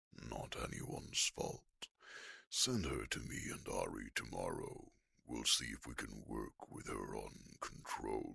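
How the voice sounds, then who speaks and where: At a fairly slow rate, a put-on character voice delivers the lines. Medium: audio drama. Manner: warm, blunt.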